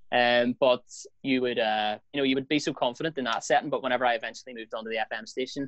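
A man with a medium-pitched voice talks very fast with fairly even intonation, recorded dry and close with no echo. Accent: Northern Irish. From Belfast, Northern Ireland. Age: 20s. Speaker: radio presenter. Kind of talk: casual chat.

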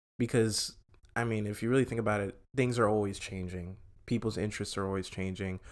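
Speaking at a fairly quick pace in a fairly low pitch, a man has an ordinary speaking voice on a very clean recording with a silent background. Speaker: podcast host. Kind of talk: casual chat. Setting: bedroom at home. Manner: joking, casual.

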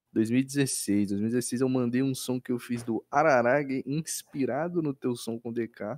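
An unremarkable speaking voice from a man at medium pitch, fairly slow with hardly any pauses, fairly even intonation and a dry, close sound with no echo. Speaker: podcast co-host. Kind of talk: casual chat.

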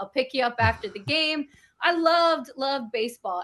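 A woman talks at a moderate pace. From Bronx, New York. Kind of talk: casual interview chat.

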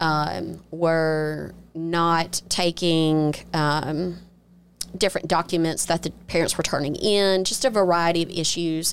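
In a Mississippi accent, a woman talks at a very slow pace with a fairly low pitch, fairly even intonation and very even loudness. The recording is very clean, with a silent background. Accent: Southern US (Mississippi). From Mississippi Gulf Coast, Biloxi. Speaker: attorney and judicial candidate. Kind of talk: interview conversation.

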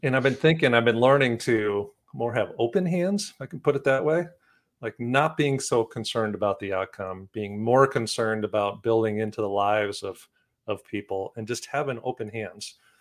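With an American accent, a man speaks at a moderate pace and medium pitch with ordinary pitch variation, in a very clean recording with a silent background. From Wisconsin. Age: 50s. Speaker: author and keynote speaker. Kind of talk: casual interview. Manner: halting.

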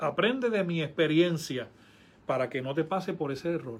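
Lively intonation marks this man's high voice. He speaks at a fairly quick pace. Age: 50s. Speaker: pastor. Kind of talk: casual chat.

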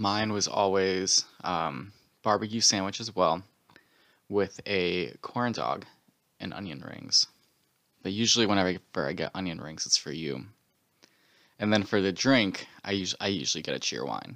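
Very deep and low, this man's voice carries vocal fry and an American accent. He leaves long, frequent pauses. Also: ordinary pitch variation, moderate pace. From North Carolina and Connecticut (military family). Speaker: podcast co-host. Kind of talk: casual chat.

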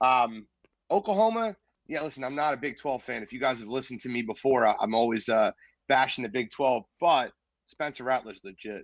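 A man with a Philadelphia accent at a fairly quick pace, medium pitch and ordinary pitch variation, big swings in loudness, dry, close sound with no echo, quiet background. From Philadelphia, North Philly. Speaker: sports podcaster. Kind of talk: casual chat.

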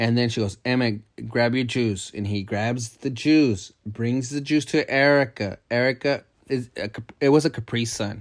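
Recorded very cleanly against a silent background, a man speaks in an ordinary speaking voice at a medium pitch with ordinary pitch variation. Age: 30s. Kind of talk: casual chat. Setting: home recording at midnight.

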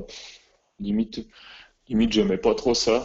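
A man talks with fairly even intonation. His pitch is medium. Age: 20s. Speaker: athlete and physiotherapist. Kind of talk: interview.

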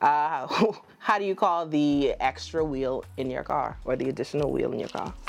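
With an American accent, a woman speaks at a moderate pace in a very deep, low pitch, her intonation lively. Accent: Bahamian with some American. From The Bahamas. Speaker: podcast host. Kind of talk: casual chat. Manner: animated, joking.

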